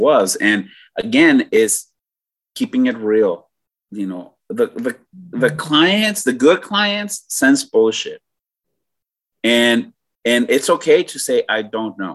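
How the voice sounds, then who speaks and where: Speaking at a very slow pace in a fairly high voice, a man leaves long, frequent pauses while his pitch swings very widely. The background is quiet. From Mexico. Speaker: author and brokerage owner. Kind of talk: casual interview. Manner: halting.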